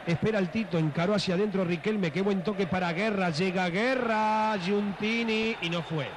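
Noticeable background noise runs behind a man with a high pitch. He keeps a moderate pace with ordinary pitch variation. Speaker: football play-by-play commentator. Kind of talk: live commentary. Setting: stadium broadcast booth. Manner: animated, excited.

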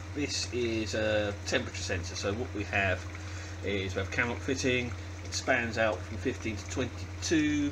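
A man's very deep, low voice at a moderate pace with ordinary pitch variation, over noticeable background noise. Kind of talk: tutorial. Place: workshop. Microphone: phone near.

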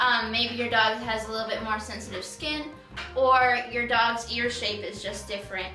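Faint music plays in the background as a woman talks at a moderate pace with audible room echo. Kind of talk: tutorial. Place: home room. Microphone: camera far.

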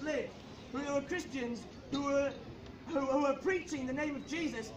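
An extremely high-pitched male voice with ordinary pitch variation amid noticeable background noise. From United Kingdom. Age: young. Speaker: street preacher. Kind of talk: open-air street sermon. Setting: outdoors. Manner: passionate. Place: street. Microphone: camera far.

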